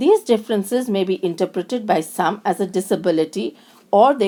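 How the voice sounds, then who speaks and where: A woman's medium-pitched voice in a strong Indian accent, dark and mellow in tone, with ordinary pitch variation at a fairly quick pace, on a very clean recording with a silent background. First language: Indian language (not English). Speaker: lecturer in special education. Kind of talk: recorded lecture. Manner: halting, with self-corrections.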